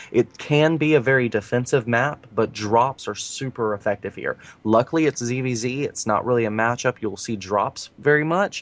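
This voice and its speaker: A man with an American accent speaks in a plain, everyday voice at a medium pitch and moderate pace, with ordinary pitch variation, hardly any pauses and a dry, close sound with no echo. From US South. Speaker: esports caster. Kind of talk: live commentary.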